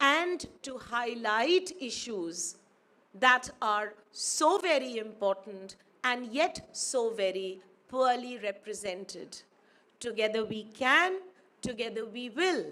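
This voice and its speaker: In a Pakistani accent, a woman with a fairly high pitch and a bright, sharp tone talks at a very slow pace, with very wide pitch swings and big swings in loudness. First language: Urdu. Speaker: academic speaker. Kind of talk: conference speech. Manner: formal.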